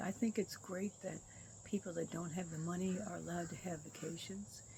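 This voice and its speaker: A woman talks at a moderate tempo while noticeable background noise plays behind her. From Michigan, Detroit. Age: 80s+. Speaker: vlogger. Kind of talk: personal monologue. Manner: halting.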